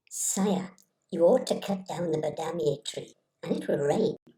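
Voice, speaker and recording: A woman's put-on character voice at a fairly low pitch. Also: moderate pace. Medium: read story. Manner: fawning, overconfident.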